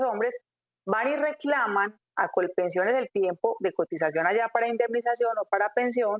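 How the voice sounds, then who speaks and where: A plain, everyday voice with lively intonation at a fairly quick pace. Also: woman. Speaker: labor and pension lawyer. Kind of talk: radio call-in advice.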